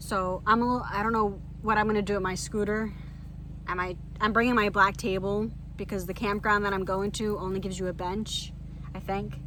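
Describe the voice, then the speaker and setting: With audible room echo, a woman talks fairly quickly in a flat, monotone intonation. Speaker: vlogger living in an RV. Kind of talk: casual vlog talk to camera. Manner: rambling, conversational.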